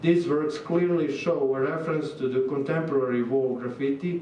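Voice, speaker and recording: Someone with a Serbian accent speaks at a fairly slow pace with fairly even intonation, amid audible room echo and noticeable background noise. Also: man. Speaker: visiting artist. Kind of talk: lecture. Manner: halting.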